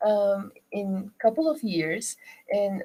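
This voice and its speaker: In a Turkish accent, a woman speaks at a very slow pace. Her voice sits at medium pitch with a dark, mellow tone. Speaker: rug shop owner. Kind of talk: interview. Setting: studio. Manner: halting.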